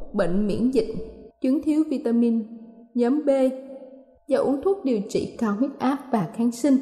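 Over music in the background, a woman speaks at a high pitch with ordinary pitch variation and a fairly slow pace. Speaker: radio presenter. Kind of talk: news reading. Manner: formal.

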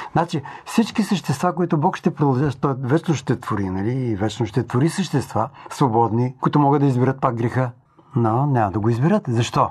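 His intonation lively, a man speaks in a somewhat breathy voice. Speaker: preacher. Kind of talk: sermon-style talk.

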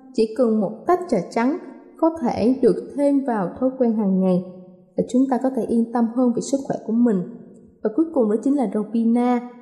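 At a fairly high pitch with ordinary pitch variation, a woman talks at a moderate pace over noticeable background noise. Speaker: radio presenter. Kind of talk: scripted health talk. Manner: formal.

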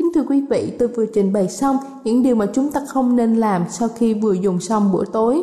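Noticeable background noise behind a woman speaking at a fairly high pitch. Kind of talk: radio health talk. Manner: formal, courteous, instructive.

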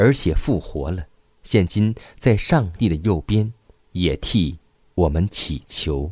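Very slowly and somewhat breathily, a man speaks with a very deep, low pitch and a dark, mellow tone on a very clean recording with a silent background. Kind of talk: devotional reading aloud.

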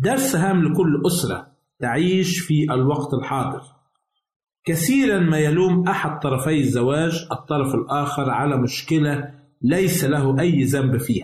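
A man's fairly high, somewhat breathy voice at a very slow pace. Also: ordinary pitch variation, very even loudness. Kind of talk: scripted religious teaching. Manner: formal.

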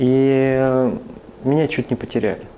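Noticeable noise sits in the background. Over it, a man talks at a medium pitch. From northern Kazakhstan and Siberia. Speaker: church minister, former army officer. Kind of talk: testimony.

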